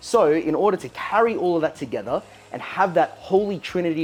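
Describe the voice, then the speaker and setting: The speaker has an Australian accent. Noticeable background noise runs under the voice. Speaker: home brewing channel host. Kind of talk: brewing tutorial. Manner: casual, chatty.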